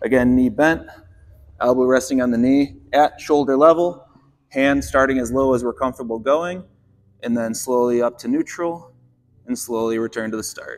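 Pausing often and at length, a man speaks at a moderate pace with ordinary pitch variation against light background noise. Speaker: fitness coach. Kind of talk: tutorial. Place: gym.

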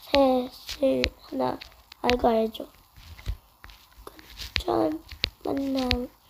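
Noticeable background noise surrounds a woman speaking at a very slow pace. Her pitch is high, with ordinary pitch variation. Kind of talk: casual game commentary.

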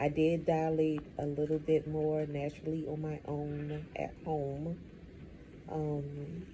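A woman speaks very slowly in a very deep, low pitch with a dark, mellow tone and a somewhat breathy quality. Her intonation is monotone and flat, with light background noise. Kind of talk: casual vlog chat. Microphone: phone near.

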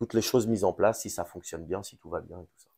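Against a quiet background, a man speaks at medium pitch in a dark, mellow tone. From France, Dreux area; France. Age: 30s. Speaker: business owner; interviewee. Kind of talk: interview. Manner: hesitant, many fillers. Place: office.

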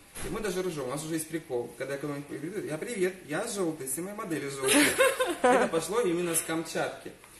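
A man talks at a very fast pace in a high voice with lively intonation. Loud background noise runs behind him. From Crimea, Simferopol; Crimea. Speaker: hair colourist. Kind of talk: live-stream hair colouring demonstration. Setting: hair salon. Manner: animated. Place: shop. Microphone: phone near.

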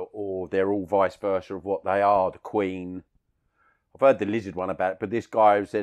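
A man speaks in a fairly low, monotone voice with flat intonation at a moderate pace. The sound is dry and close, with no echo. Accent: South London. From Bermondsey, South London. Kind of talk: interview answer, anecdote. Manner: plain-speaking, casual.

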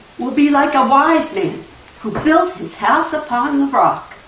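Speaking very slowly in a high voice, a woman is heard with audible room echo. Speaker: church member introducing the speaker. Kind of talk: reading aloud. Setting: church. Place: church. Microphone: camera far.

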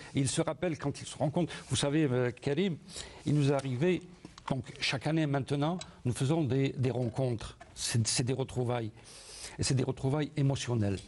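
This man talks at a moderate pace, his voice somewhat breathy, with ordinary pitch variation. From Algeria, Sétif; Algeria. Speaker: first-time memoir author; guest. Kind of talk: studio interview. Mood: warm, nostalgic. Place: studio. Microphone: lapel.

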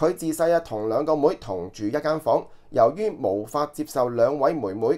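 This man's delivery moves along at a moderate pace. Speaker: online news commentator. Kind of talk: news commentary monologue. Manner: filler-heavy, conversational.

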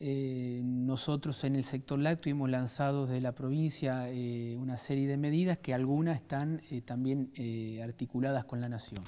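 A man's dark, mellow voice at medium pitch, with fairly even intonation and hardly any pauses. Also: moderate pace. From Santa Fe province, Argentina (small town). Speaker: provincial government minister. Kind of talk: interview. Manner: hesitant, many fillers. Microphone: lapel.

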